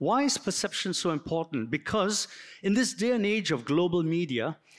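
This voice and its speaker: Recorded very cleanly with a silent background, a man speaks at a moderate pace. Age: 60s. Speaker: architect. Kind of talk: lecture. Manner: halting.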